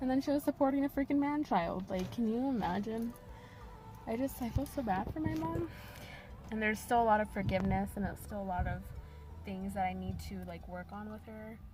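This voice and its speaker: A woman talking at a fairly quick pace, with music in the background. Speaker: vlogger sharing personal story. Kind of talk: personal testimony. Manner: rambling, halting.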